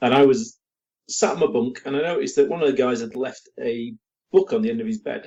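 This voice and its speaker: A high-pitched man with an English accent, fairly quick, with very wide pitch swings. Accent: English accent, still holding on. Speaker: miniatures company owner. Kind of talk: podcast interview.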